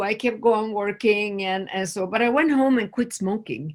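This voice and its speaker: A woman with a Swedish accent speaks at a moderate pace in a fairly high voice with lively intonation. The recording is very clean, with a silent background. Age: 60s. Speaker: nurse and food addiction expert. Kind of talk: interview conversation.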